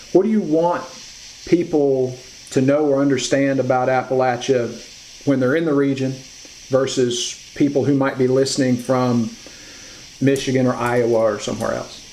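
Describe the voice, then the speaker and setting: A man of medium pitch speaks at a moderate pace with ordinary pitch variation, leaving long, frequent pauses. Noticeable background noise is present. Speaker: interviewer. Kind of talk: interview.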